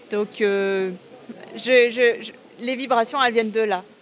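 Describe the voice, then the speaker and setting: Fairly even intonation from a fairly high-pitched woman, with noticeable background noise around her. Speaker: energy healer and sound therapist. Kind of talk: interview. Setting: exhibition fair stand.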